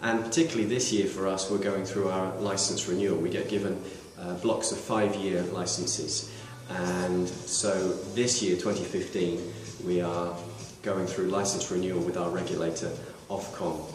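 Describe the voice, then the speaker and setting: With a British accent, a man speaks in a very deep, low voice with fairly even intonation. Noticeable background noise and audible room echo surround him. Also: moderate pace. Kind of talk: recorded video message. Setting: radio station building. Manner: sincere, with frequent hesitations.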